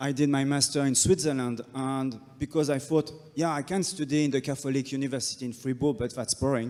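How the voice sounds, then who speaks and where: With a French accent and hardly any pauses, a man talks at a fairly quick pace, his fairly high pitch held in fairly even intonation. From France. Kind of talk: panel discussion.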